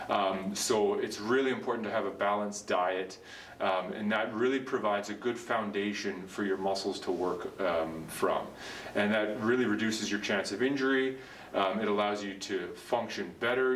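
A man's fairly low voice at a moderate pace, with fairly even intonation and audible room echo. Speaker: physiotherapist or trainer. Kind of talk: educational explainer. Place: gym. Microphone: camera far.

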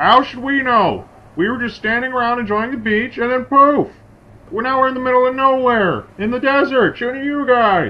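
At a moderate pace, a man puts on a character voice. It sits at an extremely high pitch with ordinary pitch variation. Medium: machinima. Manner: breezy, confident.

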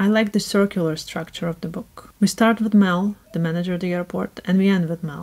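A woman talks at a fairly quick pace with a monotone, flat intonation. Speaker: book reviewer. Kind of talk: casual talk to camera. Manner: robotic, scripted. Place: home room.

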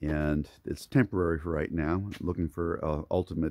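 Speaking at a fairly quick pace, a man with a very deep, low pitch and vocal fry sounds dry with no echo against a quiet background. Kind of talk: casual tour narration. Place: garden. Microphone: phone near.

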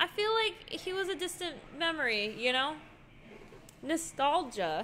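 A woman in a raised, projected voice with an American accent, high pitch and very wide pitch swings, at a fairly slow pace over light background noise. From not Texas. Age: 20s. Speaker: streamer and host; streamer, host. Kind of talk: casual gameplay livestream chat. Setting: livestream. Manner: animated. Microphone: studio mic.

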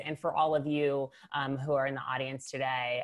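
A woman speaks fairly slowly. Behind her, the background stays quiet. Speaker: webinar host. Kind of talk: show host introduction. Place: home room. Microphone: earbuds.

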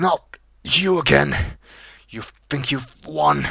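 At a very slow pace, a put-on character voice comes out wheezy and low-to-middle in pitch. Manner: wheezing, breathless.

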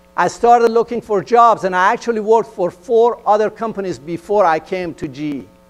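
A man with a Persian accent speaks at a high pitch and a fairly quick pace. He uses ordinary pitch variation and hardly any pauses. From Iran. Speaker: engineering executive. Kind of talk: motivational talk. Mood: earnest, personal storytelling. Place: stage. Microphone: lapel.

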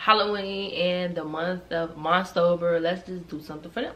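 A woman with an American accent speaks at a moderate pace and medium pitch, with noticeable background noise and audible room echo. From Chicago. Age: 20s. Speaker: YouTuber. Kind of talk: storytime vlog. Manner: casual, animated.

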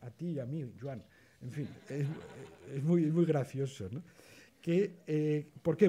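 A man's fairly high voice, dark and mellow in tone and somewhat breathy, moves with lively intonation. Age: 60s. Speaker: photography historian, panelist; panelist. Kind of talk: roundtable discussion. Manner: halting, many repetitions. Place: hall. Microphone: podium.

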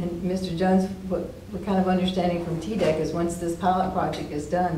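Moderate pace with audible room echo and light background noise. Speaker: mayor chairing city council. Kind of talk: council meeting. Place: meeting room. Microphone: camera far.

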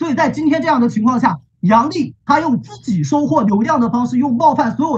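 A man's extremely high-pitched voice with very wide pitch swings, a fairly quick pace and a quiet background. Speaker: university student debater; student debater, speaker. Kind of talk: competitive debate. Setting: video call. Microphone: video call.

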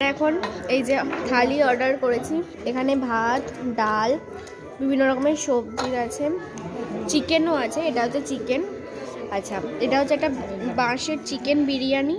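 A woman's voice with ordinary pitch variation, with clear music in the background. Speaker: food vlogger. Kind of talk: casual vlog chat. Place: cafe. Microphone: phone near.

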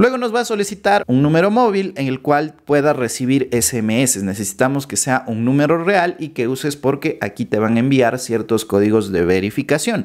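Fairly high in pitch, a man's voice makes very wide pitch swings at a moderate pace. He barely pauses, with a quiet background. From Ecuador. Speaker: YouTuber explaining finance apps. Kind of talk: tutorial. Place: home room. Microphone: studio mic.

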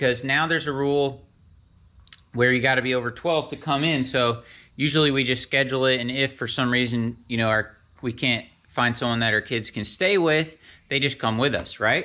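A man at a medium pitch and moderate pace, with a bright, sharp tone and ordinary pitch variation

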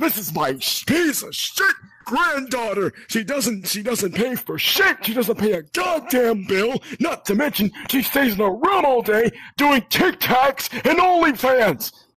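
His pitch is extremely high. The man talks at a fairly slow pace. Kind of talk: comic overacting. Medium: game stream. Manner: ranting, crude, shouting.

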